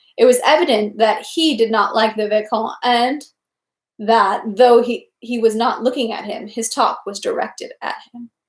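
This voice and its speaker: A woman's fairly high, normal speaking voice at a moderate pace, with fairly even intonation and big swings in loudness. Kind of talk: novel read aloud.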